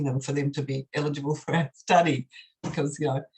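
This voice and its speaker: The voice is somewhat breathy. It carries an Australian accent. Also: woman. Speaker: professor. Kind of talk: academic Q&A answer.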